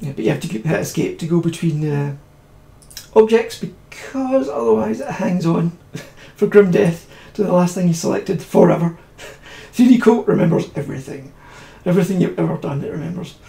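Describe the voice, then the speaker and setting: Over noticeable background noise, a high-pitched man mumbles at a fairly quick pace with lively intonation, big swings in loudness, and long, frequent pauses. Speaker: 3D modelling tutor streaming. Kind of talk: live-streamed software tutorial. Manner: mumbling; fast, hurried.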